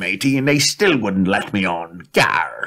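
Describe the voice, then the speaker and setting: Using a put-on character voice, a man speaks at a fairly slow pace in a medium pitch. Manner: gruff, comic.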